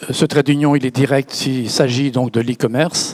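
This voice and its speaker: A man is heard against noticeable background noise. The sound is dry and close, with no echo. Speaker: company founder. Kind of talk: panel discussion. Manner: halting, repeats words.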